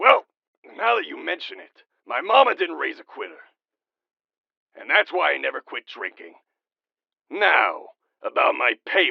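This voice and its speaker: A man puts on a raspy character voice, speaking at a moderate pace with long, frequent pauses. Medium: audio drama. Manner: rambling, gruff, dismissive.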